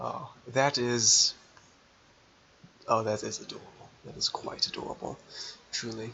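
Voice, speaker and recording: A man at a fairly slow pace, with long, frequent pauses, big swings in loudness and noticeable background noise. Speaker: gaming YouTuber. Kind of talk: let's play commentary. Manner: slurred words; halting.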